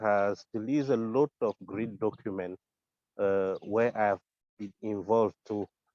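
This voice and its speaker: A man at a very slow pace and medium pitch, with fairly even intonation and a dry, close sound with no echo. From Africa. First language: French. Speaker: community council candidate. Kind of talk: candidate statement. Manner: halting, many fillers and repetitions.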